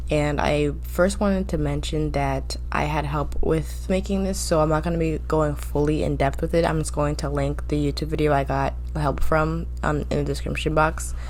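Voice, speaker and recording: A woman speaks at a moderate pace with fairly even intonation. Noticeable background noise and audible room echo fill the recording. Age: 20s. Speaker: business student and online reseller. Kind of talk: tutorial. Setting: home at night. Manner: whispering; casual.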